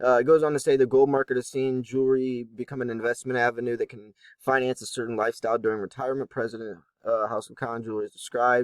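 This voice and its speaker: A man at medium pitch, very fast pace and monotone, flat intonation, in a dry, close sound with no echo. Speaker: precious metals YouTuber. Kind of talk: casual commentary on an article. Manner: hesitant with fillers.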